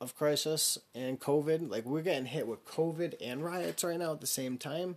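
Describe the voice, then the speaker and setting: An ordinary speaking voice with an American accent moves at a fairly slow pace, with ordinary pitch variation. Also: man. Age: 30s. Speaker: podcast host. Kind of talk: casual solo monologue.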